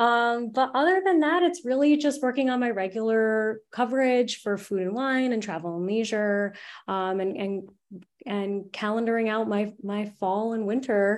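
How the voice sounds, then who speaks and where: With an American accent, a woman speaks in an ordinary speaking voice. Her fairly high pitch shows ordinary variation against a quiet background. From United States. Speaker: travel journalist. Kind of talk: interview.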